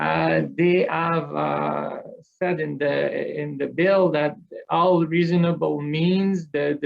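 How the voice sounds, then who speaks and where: Very slow male speech with a Quebec accent. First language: French. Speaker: business association executive. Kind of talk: panel talk. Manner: halting, many repetitions.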